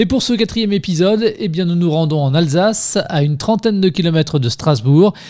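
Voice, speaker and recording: A man with a dark, mellow tone and high pitch talks fairly quickly with lively intonation, very even loudness and hardly any pauses. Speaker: podcast interviewer. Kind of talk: podcast intro.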